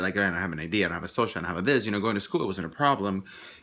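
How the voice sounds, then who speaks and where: A man's bright, sharp tone with a Spanish accent and lively intonation. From Mexico. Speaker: vlogger. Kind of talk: personal vlog monologue. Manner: halting, many repetitions and restarts.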